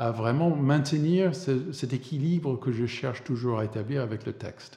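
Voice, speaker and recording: Speaking with an English accent, a man has a dark, mellow tone that is somewhat breathy, with lively intonation. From US, Vermont. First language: English (speaking French). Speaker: illustrator. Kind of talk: interview. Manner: hesitant, many repetitions.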